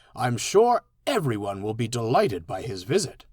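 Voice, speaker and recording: Using a put-on character voice, a man speaks at a medium pitch and a moderate pace. His pitch swings very widely. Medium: read story.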